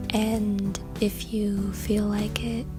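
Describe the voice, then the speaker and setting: A calm, soft-spoken woman with music in the background. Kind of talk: calm self-care advice to camera, ASMR-style. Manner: soft-spoken, calm.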